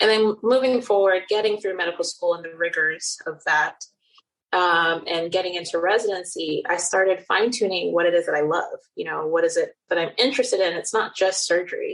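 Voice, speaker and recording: In an American accent, a woman talks at a fairly quick pace with a medium pitch and ordinary pitch variation. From Nigeria and the Netherlands. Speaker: cosmetic surgeon. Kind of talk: interview.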